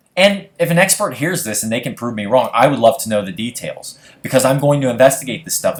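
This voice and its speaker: A man with an American accent, an animated tone and very wide pitch swings. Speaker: conspiracy video blogger. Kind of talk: stream of consciousness monologue. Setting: screen recording at home. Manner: casual, animated.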